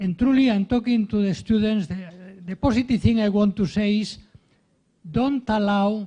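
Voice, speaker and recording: A man with a strong Spanish accent speaks at a moderate pace, pausing long and often. His high voice has a dark, mellow tone and fairly even intonation. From Spain. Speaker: professor of ethics. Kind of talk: speech at a ceremony. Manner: halting, with repeated fillers.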